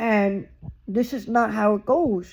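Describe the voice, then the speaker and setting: A man speaks loudly at high pitch with fairly even intonation. The recording is very clean with a silent background. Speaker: YouTuber, vlogger. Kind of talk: casual vlog monologue.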